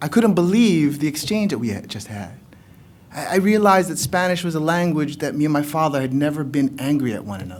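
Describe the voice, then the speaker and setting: A man's fairly high voice at a fairly quick pace, swinging very widely in pitch, with audible room echo. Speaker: poet. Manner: loud.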